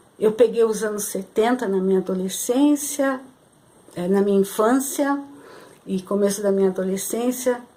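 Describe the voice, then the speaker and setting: A woman talks at a moderate pace, pitched fairly high. Her pitch varies ordinarily, and noticeable noise runs behind her. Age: 60s. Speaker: spiritual channel host. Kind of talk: spiritual talk to camera. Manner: halting, many fillers.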